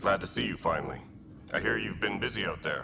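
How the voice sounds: A man in a cartoonish character voice talks at a very fast pace over clear background noise.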